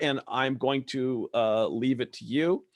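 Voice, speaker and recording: A man speaks with an American accent. His pitch is medium and his intonation fairly even. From US West Coast, Los Angeles.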